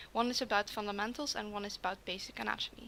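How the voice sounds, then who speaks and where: A woman talks with a non-native accent. Her tone is bright and sharp. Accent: non-native accent, self-described. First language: not English. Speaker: art critic / video creator. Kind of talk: art critique commentary, partly read from pre-written text. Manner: halting, stumbling.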